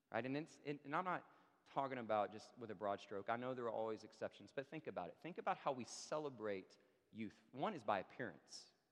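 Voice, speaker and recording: With an ordinary speaking voice, a man of medium pitch talks at a fairly quick pace using lively intonation. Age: 30s. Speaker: pastor. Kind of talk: sermon. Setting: church.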